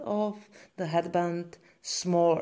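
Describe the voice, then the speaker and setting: In a Czech accent, a woman talks at a medium pitch with fairly even intonation and a very slow pace. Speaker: crochet instructor. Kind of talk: tutorial. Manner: halting.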